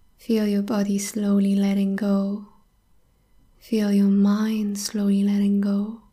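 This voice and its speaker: A woman at a medium pitch, very slow pace and very even loudness, with a calm, soothing, dark, mellow tone, somewhat breathy and in a monotone, flat intonation. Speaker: podcast host and meditation guide. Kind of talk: guided meditation. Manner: slow, calm, soothing, soft-spoken, with long pauses.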